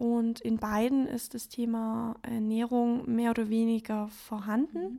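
The voice has a dark, mellow tone and monotone, flat intonation. It moves at a very slow pace with hardly any pauses. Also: woman, fairly high pitch for a woman. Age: 20s. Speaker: yoga teacher. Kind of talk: interview. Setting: living room at home.

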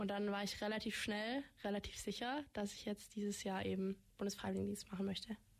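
This woman has a plain, everyday voice at a medium pitch. She talks at a fairly quick pace with fairly even intonation. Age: young (18). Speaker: federal volunteer service participant. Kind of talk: radio interview. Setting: radio studio.

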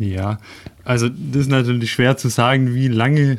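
A man at a moderate tempo and middle pitch, a plain, everyday voice, intonation fairly even. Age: 30s. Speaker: engineer and cycling traveler. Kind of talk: radio interview. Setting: studio.

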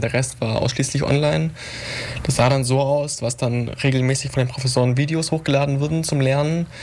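Noticeable background noise sits behind a man talking fairly quickly in a medium pitch. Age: 20s. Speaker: young politician and student. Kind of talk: radio panel discussion.

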